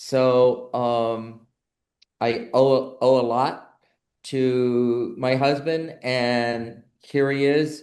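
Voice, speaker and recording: With audible room echo, a man talks at a medium pitch. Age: 70s. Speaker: board member hosting a nursing webinar. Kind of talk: online talk introduction.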